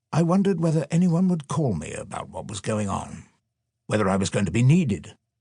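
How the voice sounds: Recorded very cleanly against a silent background, a man talks at a moderate pace with a slightly mellow tone, a slightly husky edge and big pitch swings.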